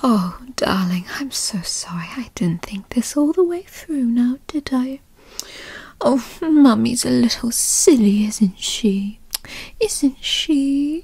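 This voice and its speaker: Very slowly and soft-spoken, the voice comes through dry with no echo. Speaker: roleplay narrator voicing a mother figure. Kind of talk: roleplay audio monologue. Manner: soft, doting ASMR voice.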